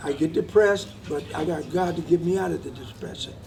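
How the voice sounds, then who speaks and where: A man speaks at a moderate pace in a fairly high pitch, his pitch varying in an ordinary way, with noticeable background noise behind him. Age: 80s+. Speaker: war veteran. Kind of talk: interview. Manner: halting.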